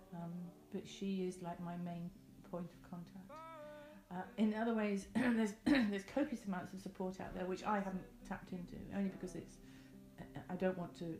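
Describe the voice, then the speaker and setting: With an English accent, a woman speaks at a medium pitch and a fairly quick pace, using ordinary pitch variation, big swings in loudness, and long, frequent pauses over noticeable background noise. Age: 50s. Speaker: cancer patient. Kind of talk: interview testimony. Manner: halting.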